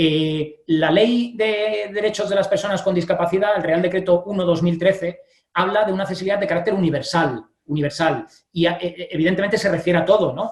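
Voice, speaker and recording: A fairly quick pace with ordinary pitch variation. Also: man, high pitch for a man. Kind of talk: panel interview. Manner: fast; hesitant with fillers.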